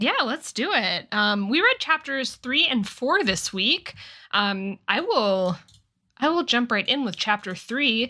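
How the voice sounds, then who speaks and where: A woman with a bright, sharp tone and a high pitch talks at a very slow pace, her pitch swinging very widely. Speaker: podcast co-host. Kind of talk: casual chat.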